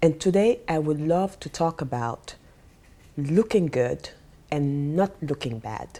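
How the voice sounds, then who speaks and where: A woman with a non-native accent speaks at a very slow pace. Her very deep, low pitch carries a dark, mellow tone. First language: not English. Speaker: life coach and vlogger. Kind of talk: vlog monologue. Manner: pauses while searching for words.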